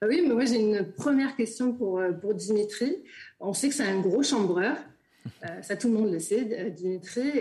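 Fairly slow in pace, a woman speaks in a normal speaking voice with a fairly high pitch. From Marseille. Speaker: sport sociologist. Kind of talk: interview. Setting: video call.

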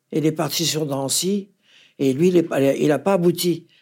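A woman with a low pitch, dark, mellow tone, slightly husky edge and vocal fry speaks at a moderate pace with ordinary pitch variation.

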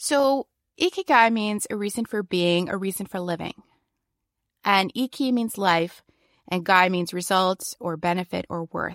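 On a very clean recording with a silent background, a woman speaks at a fairly slow pace with a medium pitch. The sound is dry and close with no echo, and her pitch variation is ordinary. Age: 40s. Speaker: podcast host. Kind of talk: solo monologue.

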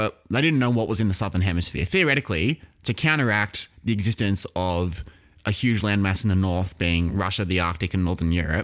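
This man speaks with an Australian accent. His pitch sits fairly low. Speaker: history podcast co-host. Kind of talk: casual educational chat.

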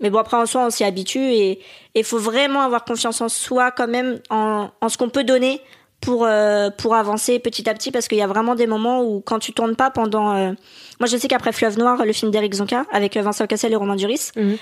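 A plain, everyday voice from a woman, fairly high in pitch, fairly quick and fairly even in intonation, on a very clean recording with a silent background. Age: 20s. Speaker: actress. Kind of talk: casual interview.

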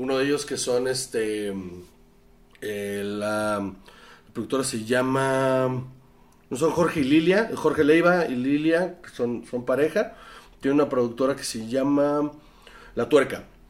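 Long, frequent pauses break up a man's fairly slow speech. His pitch is medium and varies in an ordinary way. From northern Mexico (Sonora). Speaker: film school graduate, filmmaker. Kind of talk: casual chat.

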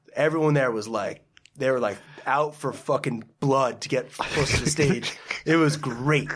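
With an American accent, an unremarkable speaking voice moves at a moderate pace with fairly even intonation. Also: man, fairly high pitch for a man. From New Jersey, Parsippany. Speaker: wine importer. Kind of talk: casual chat.

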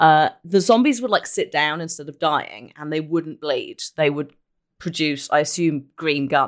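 With a British accent, a woman speaks at a fairly slow pace in a very deep, low voice. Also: ordinary pitch variation. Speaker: podcast host and Twitch streamer.

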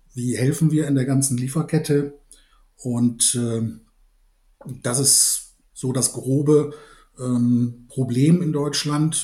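A dark, mellow, somewhat breathy tone with monotone, flat intonation. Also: man. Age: 60s. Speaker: malting company executive and brewer. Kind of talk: expert interview.

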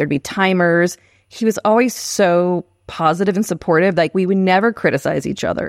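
With an ordinary speaking voice, a woman speaks at a fairly quick pace in a dry, close sound with no echo, on a very clean recording with a silent background. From Texas, San Marcos. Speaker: screenwriter. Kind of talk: casual chat.

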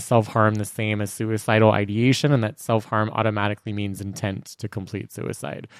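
On a very clean recording with a silent background, a man with a normal speaking voice and medium pitch talks at a fairly quick pace. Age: middle-aged. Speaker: therapist and podcast host. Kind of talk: casual chat.

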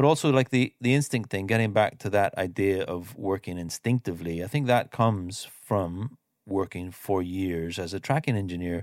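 With an Irish accent, a man speaks with hardly any pauses at a fairly low pitch with ordinary variation, on a very clean recording with a silent background and a dry, close sound with no echo. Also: moderate pace. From Ireland. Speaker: mix engineer. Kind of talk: interview.

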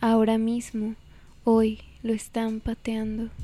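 A woman's fairly high-pitched, very slow voice with monotone, flat intonation. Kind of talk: poetry reading. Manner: slow, intimate, wistful.

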